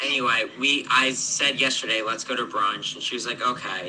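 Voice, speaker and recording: A man talks at a moderate pace while noticeable noise sounds in the background. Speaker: newly engaged man telling proposal story. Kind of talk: casual chat.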